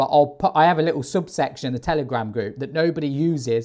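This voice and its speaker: A man speaks in an animated tone. His pitch varies in an ordinary way. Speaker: forex trader. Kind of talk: live trading commentary. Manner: loud.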